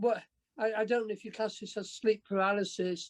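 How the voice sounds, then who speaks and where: A woman speaks with an English accent. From England. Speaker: workshop participant. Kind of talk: casual group chat introduction. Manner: halting, stammering.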